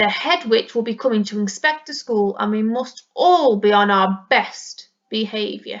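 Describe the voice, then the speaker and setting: A woman in a put-on character voice uses a stern tone at a fairly high pitch, keeping a moderate pace with hardly any pauses. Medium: read story. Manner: stern, cross.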